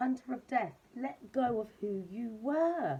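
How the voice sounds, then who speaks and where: Loud and high-pitched, a woman speaks with a dark, mellow tone. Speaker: tarot reader. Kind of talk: tarot reading monologue. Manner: animated.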